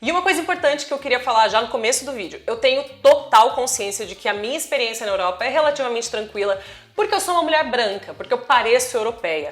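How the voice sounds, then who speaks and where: A woman talks at a very fast pace with hardly any pauses. Her pitch is high and her intonation lively. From Brazil. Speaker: travel vlogger. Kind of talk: personal vlog monologue.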